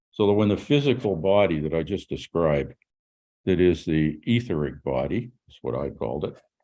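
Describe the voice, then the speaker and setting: In a Canadian accent, a man with a very deep, low pitch and vocal fry talks at a moderate pace, with lively intonation and big swings in loudness. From Canada. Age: 80s+. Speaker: author and musician. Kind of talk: podcast interview. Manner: halting.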